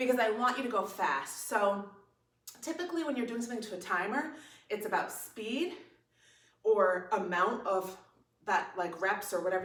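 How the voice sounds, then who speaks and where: There is audible room echo as the speaker goes at a moderate pace. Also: woman. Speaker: fitness instructor. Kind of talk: tutorial. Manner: casual, conversational.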